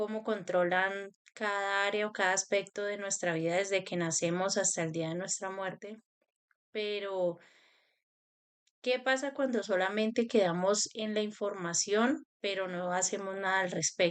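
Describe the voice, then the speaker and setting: At a fairly slow pace, an unremarkable speaking voice delivers its words with fairly even intonation. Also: woman, medium pitch for a woman. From Colombia, Cali. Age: 30s. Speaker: spiritual self-help youtuber. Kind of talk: personal talk to camera.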